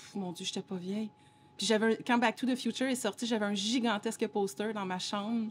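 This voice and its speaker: Her voice is somewhat breathy and fairly high for a woman. She keeps a fairly quick pace and fairly even intonation. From Montreal, Quebec. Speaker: DJ and singer-songwriter. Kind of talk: casual interview.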